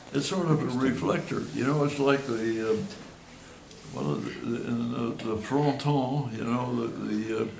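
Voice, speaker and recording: With noticeable background noise, a man of medium pitch speaks at a moderate pace, showing ordinary pitch variation and taking long, frequent pauses. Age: 80s+. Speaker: retired cultural analyst and consultant. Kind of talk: informal seminar talk.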